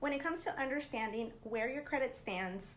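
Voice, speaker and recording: There is audible room echo and noticeable background noise. A woman speaks in an upbeat tone with lively intonation. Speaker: personal finance youtuber. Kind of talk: tutorial. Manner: casual, upbeat.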